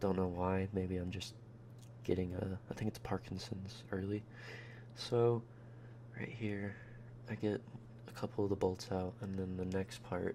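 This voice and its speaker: Soft-spoken and somewhat breathy, a man with a dark, mellow tone and fairly low pitch talks at a fairly slow pace with fairly even intonation and long, frequent pauses. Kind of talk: ASMR voice-over narrating a teardown. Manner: rambling, casual.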